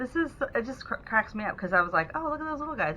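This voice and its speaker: Talking at a very fast pace, a woman's pitch swings very widely. Noticeable background noise runs underneath. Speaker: beauty vlogger. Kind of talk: product review. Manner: casual.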